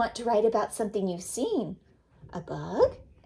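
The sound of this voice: Text is read in an unforced voice.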